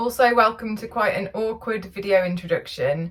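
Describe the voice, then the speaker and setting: A woman is talking. Her accent is English. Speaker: narrowboat vlogger. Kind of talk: vlog narration. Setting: outdoors on canal towpath.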